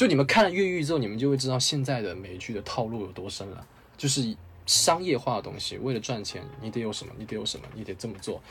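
Very fast and lively in intonation, a man speaks at medium pitch with big swings in loudness. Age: 20s. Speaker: film reviewer. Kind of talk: casual chat.

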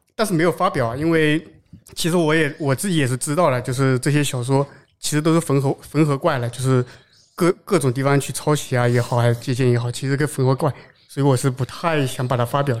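A man's fairly high-pitched voice, an unremarkable speaking voice, at a fairly quick pace with ordinary pitch variation, on a very clean recording with a silent background. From Zhejiang, China. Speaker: software architect. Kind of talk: casual chat at live event. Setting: live recording at developer conference.

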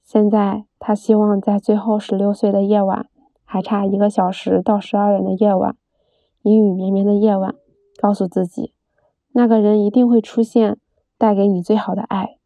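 A woman's medium-pitched voice in a monotone, flat intonation at a moderate pace. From Beijing, China. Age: 20s. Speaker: storyteller. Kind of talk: reading diary aloud.

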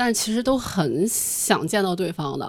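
With a plain, everyday voice, a woman of medium pitch speaks at a fairly slow pace with lively intonation in a very clean recording with a silent background. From Shanxi, China. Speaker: audience member. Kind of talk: casual chat.

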